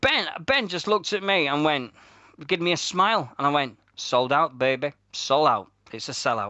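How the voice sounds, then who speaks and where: A man with a Yorkshire accent speaks at a moderate pace in a fairly high pitch, his intonation lively. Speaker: radio host. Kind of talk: casual chat.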